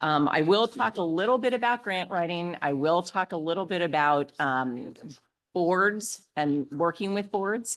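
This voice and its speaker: A woman with a fairly low pitch and lively intonation has an unremarkable speaking voice. The background is quiet. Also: fairly slow pace. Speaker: fundraising consultant. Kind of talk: workshop presentation.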